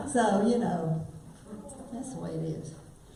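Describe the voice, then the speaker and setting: A woman's medium-pitched voice with a South Carolina accent and lively intonation, amid audible room echo and noticeable background noise. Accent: old Spartanburg. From South Carolina, Spartanburg. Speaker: singer. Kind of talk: casual storytelling to live audience. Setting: stage with audience in library.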